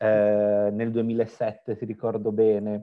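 Flat, monotone intonation marks this man's speech. His pitch is medium. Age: 40s. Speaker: interviewer, web channel host. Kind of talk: interview.

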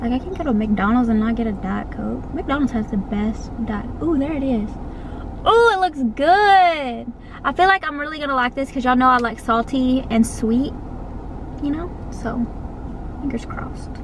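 Against noticeable background noise, a woman with a high pitch speaks with long, frequent pauses. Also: moderate pace. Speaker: vlogger. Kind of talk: casual vlog chat. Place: car. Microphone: phone near.

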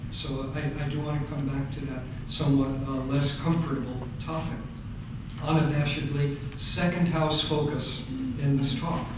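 Delivered at a moderate pace, the speech is monotone and flat. Strong room echo and noticeable background noise are present. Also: man, fairly high pitch for a man. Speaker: astrologer. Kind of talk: conference talk. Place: hall.

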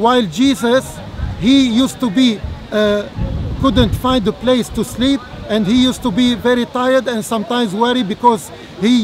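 With crowd noise in the background, a man with an extremely high voice speaks at a moderate pace and fairly even intonation. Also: dry sound with no echo. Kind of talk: formal debate. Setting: outdoors. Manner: halting. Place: open country. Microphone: camera far.

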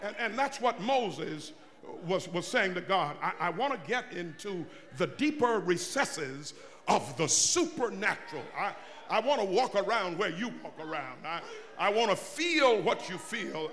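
A man talks at a moderate pace with very wide pitch swings over light background noise. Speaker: preacher. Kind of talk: sermon. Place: church. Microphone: podium.

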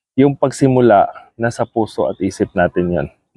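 This man speaks at a moderate pace. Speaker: vlogger. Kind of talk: casual vlog talk. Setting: outdoors in a park. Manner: soft-spoken; halting.

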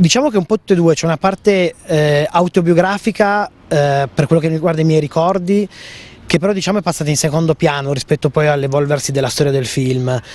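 In a dry recording with no echo, a man with a fairly high pitch talks at a fairly quick pace with ordinary pitch variation. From Piedmont, Italy. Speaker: film director. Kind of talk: interview. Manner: halting. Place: garden. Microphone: handheld.

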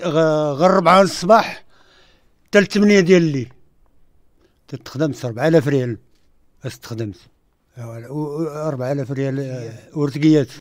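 A man speaks at a fairly high pitch and a fairly slow pace, with ordinary pitch variation and long, frequent pauses, in a dry sound with no echo against a quiet background. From Ouarzazate, Morocco; Morocco. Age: 60s. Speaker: film extra. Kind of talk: radio interview. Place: studio.

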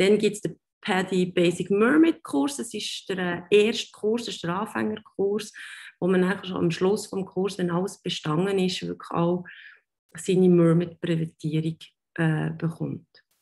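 The background stays quiet. A woman speaks fairly slowly, her pitch varying in an ordinary way. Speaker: dive instructor. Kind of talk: online presentation. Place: home room. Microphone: webcam.

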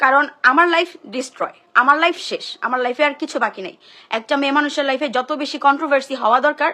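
A woman with a high pitch projects a raised voice in a bright, sharp tone, keeping her intonation fairly even. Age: 20s. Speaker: social media personality. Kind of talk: emotional live-stream monologue. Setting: social media live stream.

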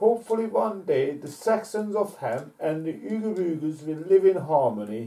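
The text is read aloud in a natural voice, and the intonation is lively.

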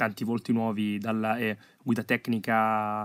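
A man's medium-pitched voice comes through in monotone, flat intonation, the sound dry and close with no echo on a very clean recording with a silent background. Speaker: sports commentator. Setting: studio voiceover of match highlights. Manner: hesitant with frequent filler 'eh' pauses.

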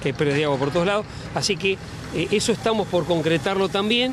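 A man talks at a fast pace with lively intonation and a high pitch. Background noise is clearly audible.

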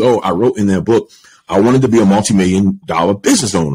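The delivery runs at a very fast pace with ordinary pitch variation. Behind it, the background is quiet. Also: man. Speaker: podcast guest. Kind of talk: interview answer. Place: home room. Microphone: studio mic.

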